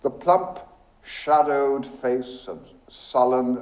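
Natural reading voice, the pitch shifting in an ordinary way

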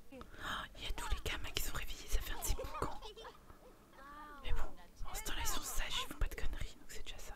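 In an amused tone, the speaker whispers at a moderate pace. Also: woman. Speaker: YouTuber, gamer. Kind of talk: casual gaming commentary to camera. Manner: whispered, amused, reacting with surprise. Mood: amused, exasperated. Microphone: studio mic.

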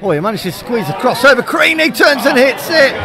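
A man is speaking. Crowd noise fills the background. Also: dry sound with no echo. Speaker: football commentator. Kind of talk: live football commentary. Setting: stadium, radio broadcast.

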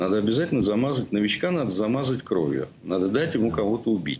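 A man talks at a fairly quick pace with very wide pitch swings over light background noise. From Russia. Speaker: opposition journalist, former MP; remote guest commentator. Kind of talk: live TV interview commentary. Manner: halting, many fillers and repetitions. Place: home room. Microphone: video call.

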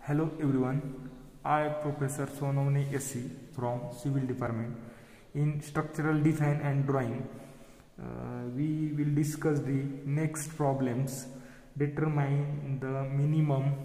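The speaker talks at a fairly slow pace in a monotone, flat way, with long, frequent pauses and audible room echo. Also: man. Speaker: engineering lecturer. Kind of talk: lecture. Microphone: phone near.

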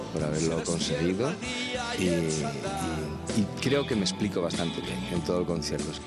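Loud music fills the background as the speech moves at a moderate pace with long, frequent pauses. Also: man. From Asturias, Spain. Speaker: singer-songwriter. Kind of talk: interview answer. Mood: warm, pleased. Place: hall. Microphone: handheld.

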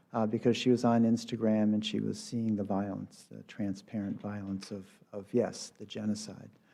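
A man at a medium pitch and moderate pace, dark and mellow in tone, against a quiet background. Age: 60s. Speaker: public commenter. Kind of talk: public comment testimony. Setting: city council meeting.

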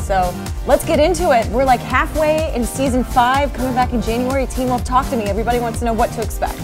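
Over clear background music, a woman speaks at a fairly quick pace in an upbeat tone. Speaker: TV host, entertainment reporter. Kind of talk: casual celebrity interview over drinks.

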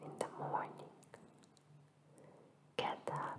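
The speaker is whispering. The pace is very slow. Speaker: ASMR creator. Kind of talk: ASMR positive affirmations. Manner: whispered; soft, slow, relaxing. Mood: soothing, warm. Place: home room. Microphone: studio mic.

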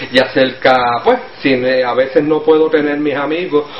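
Light background noise and audible room echo around a male speaker, his delivery at a moderate pace. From Puerto Rico. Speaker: Spanish learning interviewee. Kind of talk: casual interview answer. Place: home room. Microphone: webcam.

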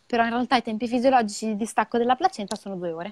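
Over a quiet background with a dry sound and no echo, a woman speaks in a fairly high pitch with ordinary pitch variation. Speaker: midwife; guest. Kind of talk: educational live talk. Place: home room. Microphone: earbuds.

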